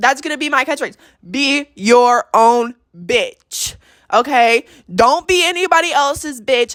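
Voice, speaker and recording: A woman with an American accent, high-pitched and very slow, her pitch swinging very widely, on a very clean recording with a silent background. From Texas. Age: 20s. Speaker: podcast host, esthetician. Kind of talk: casual monologue.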